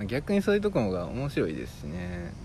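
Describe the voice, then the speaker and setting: In a Kansai accent, a man talks with a very deep, low pitch, very wide pitch swings and vocal fry. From Amagasaki, Hyogo (Kansai). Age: 30s. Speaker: podcast co-host. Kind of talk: casual chat. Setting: outdoors in a park.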